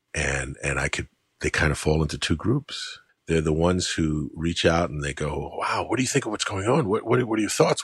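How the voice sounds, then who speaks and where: A man with a very deep, low pitch and an American accent, somewhat breathy, with very wide pitch swings and a fairly quick pace. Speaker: podcast host, writer. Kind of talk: casual conversation.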